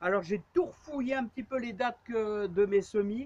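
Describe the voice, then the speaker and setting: A woman's fairly high voice carries ordinary pitch variation and moves at a moderate pace. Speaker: gardening vlogger. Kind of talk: tutorial. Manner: loud; halting.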